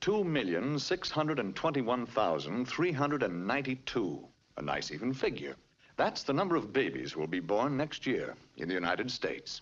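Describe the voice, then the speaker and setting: Vocal fry from a man of medium pitch, with very wide pitch swings. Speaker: narrator. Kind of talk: educational cartoon narration. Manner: wry, humorous.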